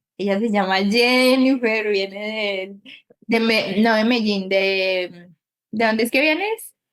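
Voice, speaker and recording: A woman speaks at a very slow pace in a fairly high voice. Her intonation stays fairly even and her loudness very even. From Colombia. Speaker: podcast host. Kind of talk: podcast interview, casual chat.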